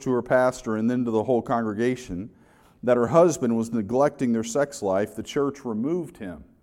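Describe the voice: The voice is simply reading aloud. Its pitch moves in an ordinary way.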